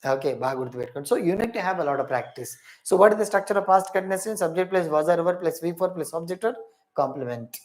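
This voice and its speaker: This is a man speaking. His pitch is high. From India, Hyderabad (Telangana). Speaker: English teacher. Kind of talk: online lecture. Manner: repetitive, emphatic.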